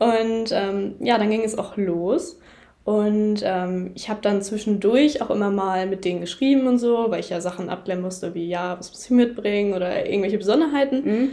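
A woman speaks at a moderate pace and medium pitch, with ordinary pitch variation. Her tone is dark and mellow, with big swings in loudness. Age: young. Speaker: horse photographer. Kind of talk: casual chat. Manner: hesitant, many filler sounds.

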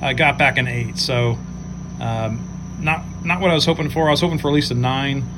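This man has an American accent, and his speech comes with audible room echo and noticeable background noise. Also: moderate pace. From Ohio, Cleveland. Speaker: sports card collector. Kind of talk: recorded show-and-tell video. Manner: halting.

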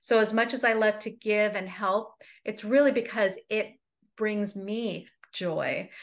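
A woman with an American accent and a plain, everyday voice, medium in pitch, with fairly even intonation against a quiet background. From United States, raised by Egyptian immigrant parents. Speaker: success coach. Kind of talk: interview.

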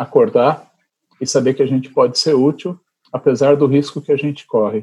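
The man's tone is dark and mellow. He talks at a moderate pace. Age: 50s. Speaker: physician and researcher. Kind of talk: interview.

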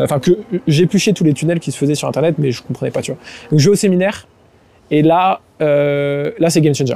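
With a dark, mellow tone and fairly high pitch, a man talks at a fairly quick pace with ordinary pitch variation and long, frequent pauses. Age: 20s. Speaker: entrepreneur. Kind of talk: casual chat. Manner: halting.

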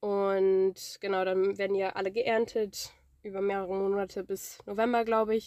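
A woman's dark, mellow tone at medium pitch, flat and monotone, at a moderate pace. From northern Germany. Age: 20s. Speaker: farm worker and student. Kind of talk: interview.

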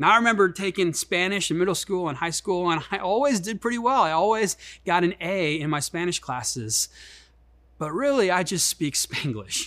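A man speaks with a Midwestern US accent in a bright, sharp tone. His pitch is high, and his intonation is lively. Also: moderate pace. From Chicago, US Midwest. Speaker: pastor. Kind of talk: sermon. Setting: online church service.

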